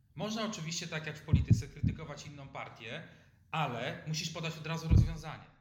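A man talks at a very fast pace, with big swings in loudness. Audible room echo and noticeable background noise come through. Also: fairly high pitch for a man, ordinary pitch variation. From Poland, Lower Silesia (Lubań). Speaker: entrepreneur and economist. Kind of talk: interview. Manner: halting.

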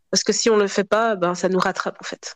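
Recorded dry and close with no echo over a quiet background, a woman has a plain, everyday voice, a medium pitch and fairly even intonation. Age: 30s. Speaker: public administration employee. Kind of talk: interview testimony.

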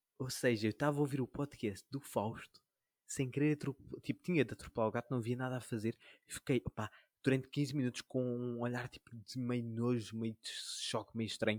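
An unremarkable speaking voice at a moderate pace with fairly even intonation, in a dry, close sound with no echo. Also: man, medium pitch for a man. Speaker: podcast co-host. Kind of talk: casual chat. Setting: home recording with own microphone.

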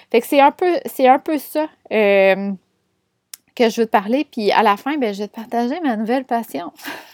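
An animated, lively-intoned voice in a Quebec accent, at a moderate pace with long, frequent pauses and a dry, close sound with no echo. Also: woman, fairly high pitch for a woman. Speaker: podcast host, business and astrology coach. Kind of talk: casual solo monologue. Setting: room with windows open. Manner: animated, frequent laughs.

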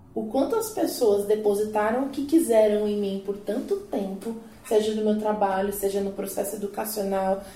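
Fairly even intonation from a woman with a fairly high pitch, at a moderate pace, with audible room echo and noticeable background noise. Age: 30s. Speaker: psychologist and career coach. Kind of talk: casual panel discussion.

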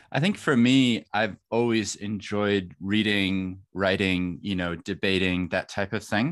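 Speaking with a non-native accent, a man uses a fairly low pitch, ordinary pitch variation and a fairly slow pace. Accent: non-New Zealand accent, foreign-born. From New Zealand. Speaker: lawyer and podcaster. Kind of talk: casual interview chat. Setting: video call.

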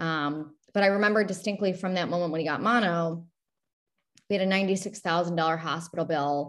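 A woman talks in a plain, everyday voice with a fairly low pitch. Her intonation is fairly even at a fairly quick pace over a quiet background. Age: 30s. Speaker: benefits broker. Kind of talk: interview.

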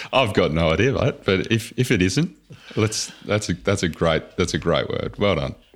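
The speaker uses a plain, everyday voice with lively intonation at a moderate pace. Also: man, fairly low pitch for a man. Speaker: podcast host.

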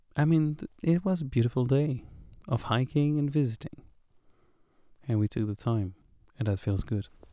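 At a moderate pace, a quiet voice with a dark, mellow tone and lively intonation speaks between long, frequent pauses. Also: man, medium pitch for a man. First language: French. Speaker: hiker vlogger. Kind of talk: audio diary. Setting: in a tent at a campground.

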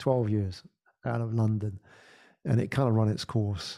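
With a British accent, the voice has a dark, mellow tone at a moderate pace. The recording is very clean, its background silent. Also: man. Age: 40s. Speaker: podcast agency founder and podcaster. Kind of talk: casual interview chat.

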